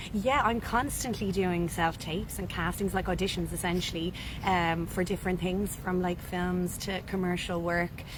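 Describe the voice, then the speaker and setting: In an Irish accent, a woman talks at a moderate pace in a medium pitch with fairly even intonation, and the room echo is audible. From Ireland. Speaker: actress. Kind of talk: interview. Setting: cafe.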